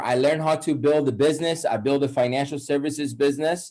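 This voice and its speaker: A man with a Persian accent at a moderate pace. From Iran. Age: 30s. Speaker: wealth coach. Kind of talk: webinar presentation.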